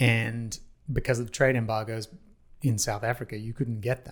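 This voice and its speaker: Flat, monotone intonation from a man with an Australian accent. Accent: Australian, noticeable. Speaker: parking industry executive. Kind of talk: podcast interview.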